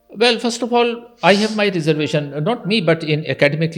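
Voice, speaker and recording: A man speaks with music playing in the background. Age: 60s. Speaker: university dean and educationist. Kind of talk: podcast interview.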